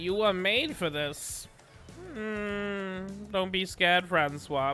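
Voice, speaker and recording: A man's put-on character voice, high-pitched and very slow, with music in the background. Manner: spooky, eerie, seductive.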